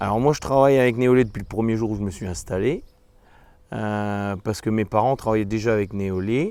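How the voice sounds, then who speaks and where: The man's voice is dark and mellow, pitched fairly low. He talks at a fairly quick pace with ordinary pitch variation. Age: 40s. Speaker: dairy farmer. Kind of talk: interview testimony. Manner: hesitant, many fillers.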